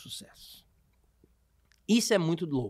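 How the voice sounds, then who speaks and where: A man speaks against a quiet background. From Brazil. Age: 30s. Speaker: podcast host, comedian. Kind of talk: casual chat. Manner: animated. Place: studio. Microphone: studio mic.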